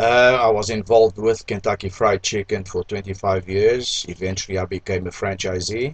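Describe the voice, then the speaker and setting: Somewhat breathy, a man with a fairly low pitch speaks at a moderate pace, with fairly even intonation and hardly any pauses. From Mozambique. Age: 60s. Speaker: restaurant owner. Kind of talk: interview.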